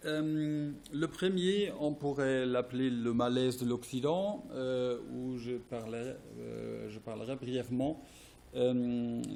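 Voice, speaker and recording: A man speaks at a medium pitch with a dark, mellow tone. His pace is very slow and his pitch varies in an ordinary way. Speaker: philosophy professor. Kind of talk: academic presentation read from text. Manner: halting, many hesitations; somewhat quiet.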